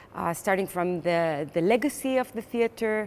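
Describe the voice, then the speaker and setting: A woman with an Israeli accent talks at a fairly slow pace in a very clean recording with a silent background. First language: Hebrew. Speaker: playwright and theater director. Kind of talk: interview. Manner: hesitant, many fillers.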